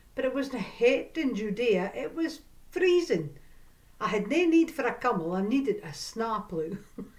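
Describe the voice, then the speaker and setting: A fairly slow, fairly high-pitched woman's voice in a North East Scottish accent, with very wide pitch swings. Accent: North East Scots (Doric). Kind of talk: storytelling.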